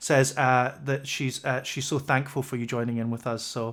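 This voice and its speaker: With a Scottish accent, a man speaks at a moderate pace. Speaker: livestream interview host. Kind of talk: casual interview chat. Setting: livestream video call. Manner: halting, many fillers.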